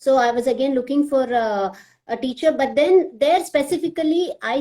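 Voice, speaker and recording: With a Telugu accent, a woman speaks at a high pitch in a dark, mellow tone with lively intonation. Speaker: classical dancer and social media page admin. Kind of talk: live video chat.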